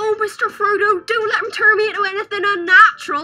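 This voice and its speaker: A woman performs in a put-on character voice. Music plays in the background. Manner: earnest, worried.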